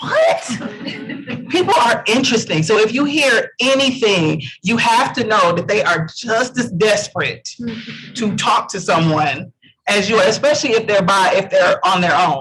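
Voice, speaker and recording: The speaker uses a raised, projected voice with lively intonation at a moderate pace. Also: man. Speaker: networking panelist. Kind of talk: panel discussion. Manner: loud.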